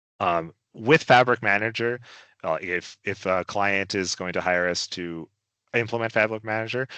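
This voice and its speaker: With ordinary pitch variation, the voice has a bright, sharp tone and a dry, close sound with no echo against a quiet background. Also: man. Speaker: senior data architect. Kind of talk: webinar technical demo. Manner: fast; filler-heavy, self-correcting.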